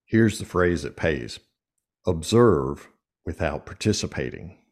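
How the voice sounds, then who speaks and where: Speaking at a moderate pace, a man with a very deep, low pitch, vocal fry and lively intonation is captured in a very clean recording with a silent background. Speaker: executive coach and speaker. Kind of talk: casual interview. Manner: energetic, animated.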